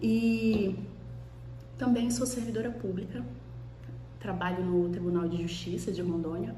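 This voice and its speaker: A woman speaks in a relaxed tone at a fairly slow pace with long, frequent pauses, her voice carrying audible room echo over noticeable background noise. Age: 30s. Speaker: law professor and vlogger. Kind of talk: casual vlog talk to camera. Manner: relaxed, conversational.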